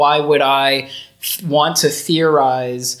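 This is a man with an American accent. His pitch is fairly high. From US South, Florida. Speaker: university lecturer. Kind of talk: casual academic interview. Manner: hesitant, fillers.

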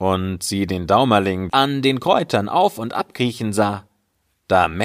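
Quiet surroundings and a natural reading voice with ordinary pitch movement

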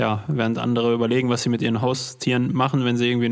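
Over noticeable background noise, a man with a medium-pitched voice talks very fast in a monotone, flat intonation. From Ruhr area, Germany. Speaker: podcast host. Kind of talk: casual interview.

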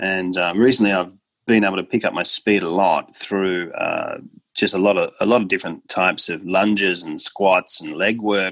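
Fairly low in pitch, a man speaks with an Australian accent. His pace is moderate and his intonation fairly even. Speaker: golf coach. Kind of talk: interview.

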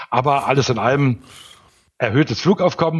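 Fairly quick, somewhat breathy speech from a man. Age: 60s. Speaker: airfield manager and pilot. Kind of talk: interview.

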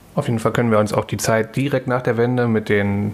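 A man talks at a very fast pace with a medium pitch. Noticeable background noise runs behind him. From East Berlin, Germany. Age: 30s. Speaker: podcast co-host. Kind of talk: casual chat. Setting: home kitchen.

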